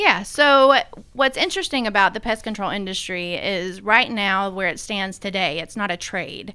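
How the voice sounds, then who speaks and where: A woman with a Southern US accent and a bright, sharp tone at a moderate pace. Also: medium pitch for a woman, ordinary pitch variation. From US South, Middle Tennessee (Sumner County). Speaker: pest control company CEO. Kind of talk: interview.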